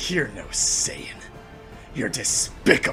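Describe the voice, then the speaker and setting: Growling in a put-on character voice, a man performs over clear music in the background. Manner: low growling, contemptuous.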